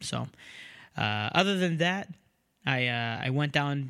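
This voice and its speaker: A man talks at a moderate pace in a fairly high voice. The recording is very clean, with a silent background. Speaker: podcast host and comedian. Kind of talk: casual chat. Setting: home room.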